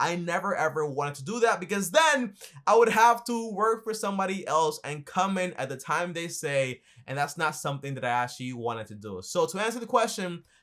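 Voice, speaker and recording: Speaking with an American accent on a very clean recording with a silent background, a man with a high pitch talks at a fairly quick pace, his voice making very wide pitch swings and big swings in loudness. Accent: Caribbean-tinged American English. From Dominican Republic. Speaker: accountant and finance YouTuber. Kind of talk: casual Q&A talk to camera. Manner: fast.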